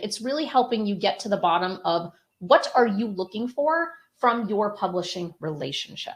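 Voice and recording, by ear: A woman speaks at a moderate pace. Her tone is fairly bright and her intonation lively.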